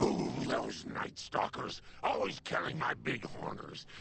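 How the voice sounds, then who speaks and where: Over clear background noise, a man growls through a put-on character voice at a fairly slow pace. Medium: video game. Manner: folksy, doting.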